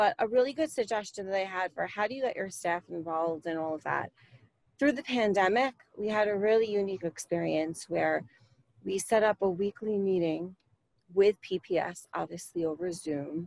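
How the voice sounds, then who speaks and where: A woman with an American accent speaks at a moderate pace with ordinary pitch variation. The sound is dry with no echo, and the background is quiet. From Long Island, New York; New York. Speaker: PTA parent volunteer. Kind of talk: workshop discussion. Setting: video call. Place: home room. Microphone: video call.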